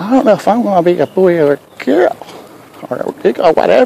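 A high-pitched man with a Southern US accent makes very wide pitch swings, in a dry sound with no echo and light background noise. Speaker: vlogger; livestreamer. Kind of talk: casual chat. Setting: outdoors. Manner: halting; soft-spoken. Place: street. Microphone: earbuds.

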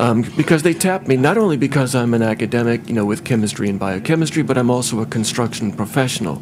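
With an American accent, a man talks at a very fast pace with hardly any pauses, his medium-pitched voice kept at very even loudness and his intonation lively over noticeable background noise. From US Midwest. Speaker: chemist and scientist. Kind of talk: testimony. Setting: public hearing with microphone.

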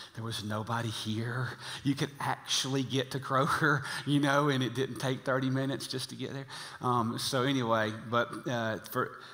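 A man's monotone, flat delivery at a moderate pace, over a quiet background. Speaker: senior pastor. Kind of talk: sermon. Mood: jokey, relaxed. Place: church. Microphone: headset.

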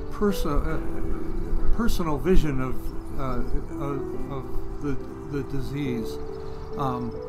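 A man at a very slow pace over loud background music. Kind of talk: interview answer. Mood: calm, reflective. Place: garden.

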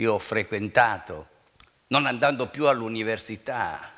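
A man's bright, sharp tone at a fairly slow pace over a quiet background. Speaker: city mayor. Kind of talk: public speech. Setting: stage with audience. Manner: formal. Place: stage. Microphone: headset.

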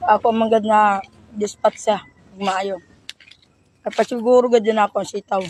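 A woman speaks at a fairly high pitch and a fairly slow pace, her intonation flat and monotone, with long, frequent pauses. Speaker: vegetable vendor vlogger. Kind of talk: casual vlog monologue.

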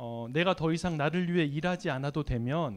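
Over a quiet background, a man talks at a moderate pace. He has a fairly high pitch and lively intonation. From South Korea. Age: 40s. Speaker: lay church leader and lecturer; lecturer. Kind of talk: sermon. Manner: halting, many fillers. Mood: warm, smiling. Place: church. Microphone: handheld.

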